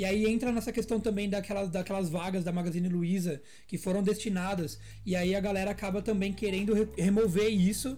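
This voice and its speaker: Fairly quick and with fairly even intonation, a man speaks in a high-pitched voice with a dark, mellow tone. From interior of São Paulo state, Brazil. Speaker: podcast host, account executive. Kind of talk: casual chat.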